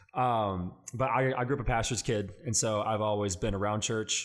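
Speaking at a fairly quick clip in a fairly low register, a man with an unremarkable speaking voice is heard on a very clean recording with a silent background. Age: 20s. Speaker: student pastor and podcast co-host. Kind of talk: casual chat.

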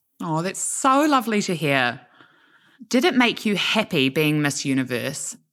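A woman with a New Zealand accent speaks at a fairly low pitch and moderate pace, with very wide pitch swings, on a very clean recording with a silent background. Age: 20s. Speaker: podcast host. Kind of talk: interview.

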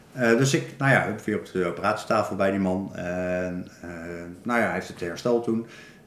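With ordinary pitch variation and a moderate pace, the speech has audible room echo. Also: man, fairly low pitch for a man. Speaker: person with spinal cord injury sharing experience. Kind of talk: casual interview. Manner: halting, many repetitions.

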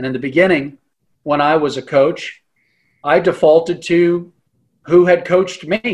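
This man talks at a high pitch, leaving long, frequent pauses. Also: fairly even intonation, moderate pace. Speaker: mental performance coach. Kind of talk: interview conversation.

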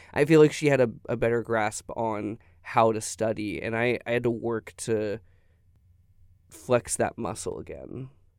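A man's medium-pitched voice at a fairly slow pace, fairly even in intonation, on a very clean recording with a silent background. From Texas, Tyler. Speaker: law student. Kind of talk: interview. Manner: halting, with repetitions.

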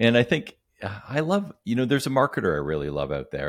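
A man talks at a fairly quick pace with vocal fry and very wide pitch swings. The recording is very clean, with a silent background. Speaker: business coach. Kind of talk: casual interview.

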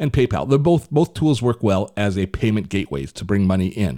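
Fairly low in pitch, a man speaks in a plain, everyday voice with lively intonation at a fairly quick pace. The recording is very clean, with a silent background. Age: 60s. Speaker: podcast host and tech reviewer. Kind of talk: casual tech podcast chat.

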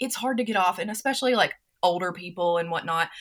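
A woman speaks with a Southern US accent. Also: very clean recording, silent background. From US South, North Carolina. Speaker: entrepreneur and personality coach. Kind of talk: casual interview chat.

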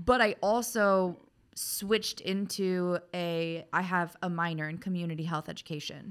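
A woman with a plain, everyday voice talks at a fairly slow pace and a fairly low pitch, her intonation fairly even. The recording is very clean with a silent background. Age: 20s. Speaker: corporate trainer. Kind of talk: casual chat. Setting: studio.

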